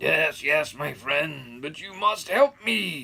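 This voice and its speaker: A put-on character voice speaks at a very slow pace. The voice is raspy. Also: man, fairly high pitch for a man. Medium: read story.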